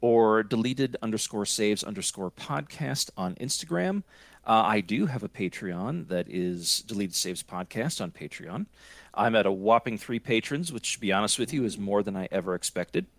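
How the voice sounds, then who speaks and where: With an American accent, a man uses a normal speaking voice, fairly low in pitch and lively in intonation, at a moderate pace over a very clean recording with a silent background. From Scranton, Pennsylvania, US. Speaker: podcaster. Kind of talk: casual chat.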